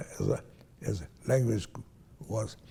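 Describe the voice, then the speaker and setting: Using vocal fry, a man talks at a fairly slow pace with a medium pitch and a dark, mellow tone. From Hungary/Romania (Transylvania). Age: 90s. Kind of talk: interview answer, recounting life story. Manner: slow, halting.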